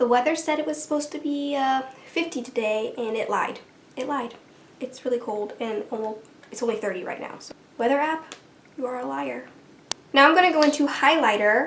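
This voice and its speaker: A woman with a high pitch and lively intonation talks at a fairly quick pace, leaving long, frequent pauses and making big swings in loudness, while noticeable background noise sits behind her. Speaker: beauty vlogger. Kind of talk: makeup tutorial talk to camera. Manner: casual, relaxed.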